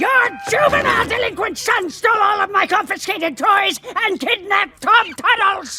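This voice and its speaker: Over background music, a put-on character voice pitched extremely high moves at a moderate pace with hardly any pauses. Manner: scolding, indignant.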